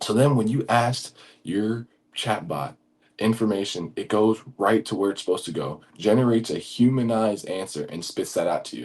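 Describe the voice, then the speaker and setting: A man speaks in a fairly low voice with an animated tone. His pitch variation is ordinary. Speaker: automation tutorial creator. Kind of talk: tutorial. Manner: fast; casual, animated.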